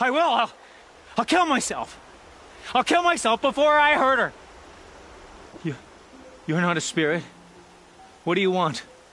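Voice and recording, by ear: A man puts on a character voice, pitched extremely high with a bright, sharp tone and lively intonation. He moves at a fairly slow pace, with long, frequent pauses.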